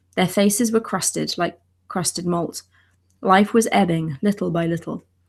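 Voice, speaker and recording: This woman's voice sits at a medium pitch and comes across somewhat breathy. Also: very clean recording, silent background. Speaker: ancient languages scholar, channel co-host. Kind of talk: reading aloud an ancient text translation; explanatory lecture-style commentary.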